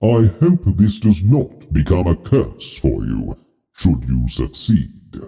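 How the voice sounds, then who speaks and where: Putting on a character voice, a man speaks at a fairly slow pace in a very deep, low pitch. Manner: concerned, grave.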